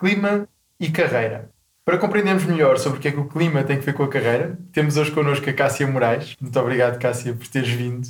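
The pitch varies in an ordinary way. The delivery comes at a very fast pace. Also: man, fairly high pitch for a man. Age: 20s. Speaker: podcast host. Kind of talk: interview.

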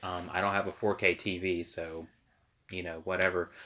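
The voice has a bright, sharp tone and a monotone, flat intonation at a moderate pace. The recording is very clean, with a silent background. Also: man. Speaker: podcast host. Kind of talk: casual chat about gaming and current events. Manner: loud talker.

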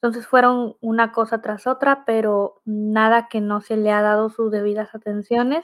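A woman's fairly high voice in a flat monotone, at a moderate pace with hardly any pauses. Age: 20s. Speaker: radio host and guest with visual impairment. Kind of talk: interview testimony.

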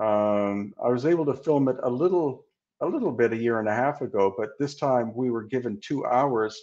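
A man with a western Canadian accent speaks at a moderate pace and medium pitch, with ordinary pitch variation over a quiet background. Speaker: researcher and author on ancient megaliths. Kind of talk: interview.

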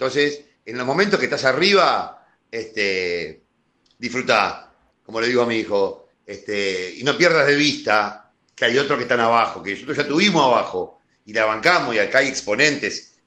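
With a bright, sharp tone and lively intonation, a man of medium pitch talks at a moderate pace. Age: 50s. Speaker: football fan commentator. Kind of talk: casual chat.

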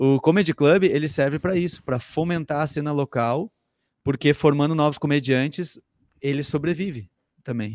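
A man with a fairly high pitch speaks in a Gaúcho Brazilian accent. The recording is very clean, with a silent background. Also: ordinary pitch variation, moderate pace, dry, close sound with no echo. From southern Brazil, interior of Rio Grande do Sul (Sapiranga). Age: 30s. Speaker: comedian and comedy writer. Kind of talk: casual chat.

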